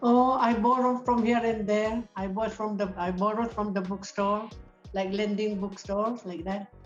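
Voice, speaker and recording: Music plays in the background as a woman speaks at a moderate pace in a fairly high pitch with monotone, flat intonation. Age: 80s+. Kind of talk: interview answer. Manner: good-humoured.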